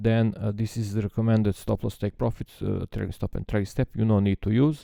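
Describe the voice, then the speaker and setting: The voice has a dark, mellow tone and a non-native accent, recorded with a dry, close sound with no echo. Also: man, fairly low pitch for a man. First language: not English. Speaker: trading software developer. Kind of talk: tutorial. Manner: halting, many filler sounds.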